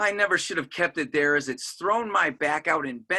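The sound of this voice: The reading voice here is unforced.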